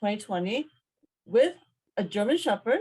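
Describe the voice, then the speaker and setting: A woman speaks with an American accent. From US Midwest, Chicago. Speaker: professor. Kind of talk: video call self-introduction. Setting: video call. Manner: hesitant, many fillers.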